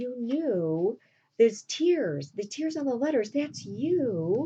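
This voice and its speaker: A woman puts on a character voice, high in pitch. Her pitch swings very widely at a fairly slow pace. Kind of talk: casual classroom retelling. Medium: read story. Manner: emotional, earnest.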